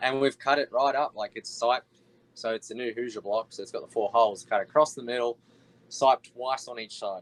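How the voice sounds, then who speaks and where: A man with an American accent talks at a fairly quick pace, his pitch medium and his intonation fairly even. His loudness swings widely, and the sound is dry and close with no echo. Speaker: wingless sprint car racing driver. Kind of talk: casual interview chat.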